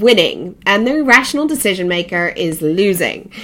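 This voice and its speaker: A woman's ordinary speaking voice with lively intonation. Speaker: podcast host. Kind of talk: interview; solo podcast monologue.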